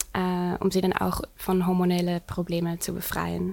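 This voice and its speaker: This woman talks at a medium pitch. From Netherlands. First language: Dutch (speaking German). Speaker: nutrition and hormone coach. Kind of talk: interview. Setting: studio. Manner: halting.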